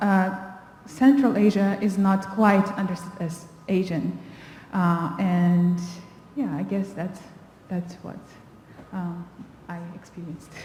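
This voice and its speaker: A woman speaks very slowly at a medium pitch, with long, frequent pauses, big swings in loudness and fairly even intonation, amid audible room echo and noticeable background noise. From Kazakhstan. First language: Russian. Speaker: panelist. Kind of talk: panel discussion. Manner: halting.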